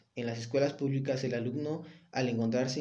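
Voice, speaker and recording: In a Mexican accent, the speaker uses a monotone, flat intonation and a dark, mellow tone, with audible room echo. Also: man. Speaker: student. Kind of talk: reading summary presentation. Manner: halting when speaking unscripted.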